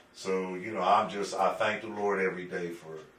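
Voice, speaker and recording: A man with an American accent talks at a fairly quick pace amid noticeable background noise and audible room echo. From Pittsburgh, Pennsylvania. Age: 60s. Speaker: urban planner. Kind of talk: interview.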